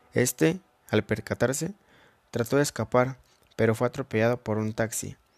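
Heard in a very clean recording with a silent background and a dry, close sound with no echo, a man at a medium pitch speaks at a moderate pace with ordinary pitch variation in an unremarkable speaking voice. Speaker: podcast host. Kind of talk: storytelling narration.

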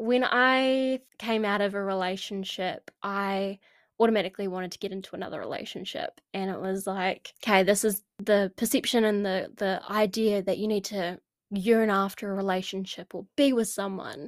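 On a very clean recording with a silent background, a woman with a New Zealand accent speaks at a medium pitch and a moderate pace with fairly even intonation, the sound dry and close with no echo. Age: 20s. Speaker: podcast host. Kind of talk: casual monologue.

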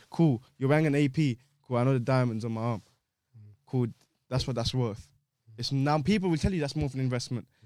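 A man with a London accent, dark and mellow in tone, at a fairly quick pace with long, frequent pauses and ordinary pitch variation. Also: medium pitch for a man. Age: 20s. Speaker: podcast co-host. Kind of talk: casual chat.

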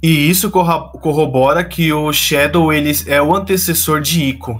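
A fairly high-pitched man with ordinary pitch variation, over noticeable background noise. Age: 20s. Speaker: podcast host. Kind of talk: casual chat.

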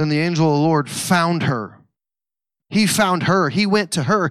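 Here a man with an American accent talks at a moderate pace in an animated tone. The recording is very clean, with a silent background. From Missouri. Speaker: pastor. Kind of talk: sermon.

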